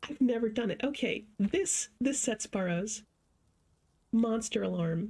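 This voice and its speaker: A somewhat breathy voice at a fairly slow pace. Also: woman, fairly high pitch for a woman, ordinary pitch variation. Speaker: streamer. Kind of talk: gameplay livestream commentary. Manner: soft-spoken.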